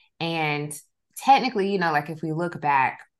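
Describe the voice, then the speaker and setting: A woman with a Southern US accent speaks at a moderate pace against a quiet background. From US South, South Georgia. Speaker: podcast host, licensed counselor. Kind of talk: casual interview chat.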